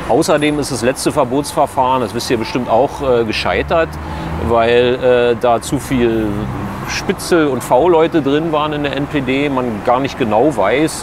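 The sound is dry with no echo, though there is noticeable background noise. A man talks at a fairly slow pace with ordinary pitch variation. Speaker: local politician. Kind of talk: interview answer. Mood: calm, earnest. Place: street. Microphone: lapel.

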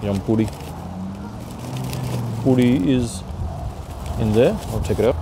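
A man speaks slowly at a fairly low pitch, his intonation fairly even. Clear background noise runs under him.

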